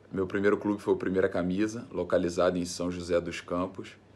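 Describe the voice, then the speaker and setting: A very deep, low-pitched man's voice at a fairly quick pace, with fairly even intonation. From Brazil, Rio de Janeiro state interior. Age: 30s. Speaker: professional footballer. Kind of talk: interview. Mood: relaxed, friendly. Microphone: phone near.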